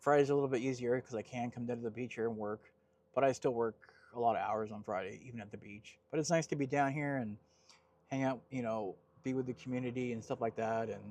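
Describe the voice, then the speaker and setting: Speaking very fast with an American accent, a man keeps a medium pitch and fairly even intonation. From Southern California. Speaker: vanlife vlogger. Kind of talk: casual vlog talk to camera. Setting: outdoors at a beach parking spot.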